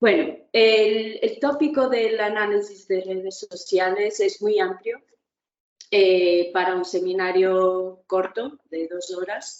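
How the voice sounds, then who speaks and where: A woman speaks very slowly with a Portuguese accent. Her pitch sits in a medium range and varies in an ordinary way. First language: Portuguese (speaking Spanish). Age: young. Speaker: historian, university lecturer. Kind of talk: academic lecture.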